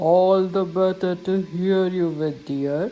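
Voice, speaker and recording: A put-on character voice sounds female and sits at a middle pitch. It moves at a fairly slow pace. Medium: read story. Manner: sly, falsely sweet.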